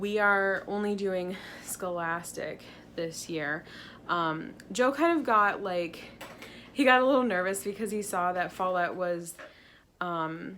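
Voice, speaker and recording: At a very slow pace with long, frequent pauses, a woman of medium pitch speaks with ordinary pitch variation amid audible room echo. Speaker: teacher vlogger. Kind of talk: casual vlog. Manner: animated.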